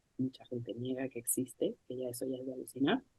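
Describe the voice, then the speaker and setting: The voice is soft-spoken with a dark, mellow tone and moves at a moderate pace. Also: woman. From Mexico. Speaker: author. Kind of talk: book presentation talk. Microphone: laptop mic, no microphone, too quiet.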